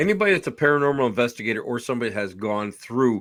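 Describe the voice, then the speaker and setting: Someone talks at a very fast pace on a very clean recording with a silent background. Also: man. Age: 60s. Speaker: podcast host, paranormal investigator. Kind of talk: casual interview chat.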